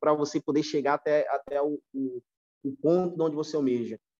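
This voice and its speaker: The voice has a dark, mellow tone and ordinary pitch variation, heard in a dry, close sound with no echo. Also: man. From São Paulo, Brazil (until 14), then Recife. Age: 30s. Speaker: retail store manager. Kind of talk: podcast interview. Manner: halting, many repetitions.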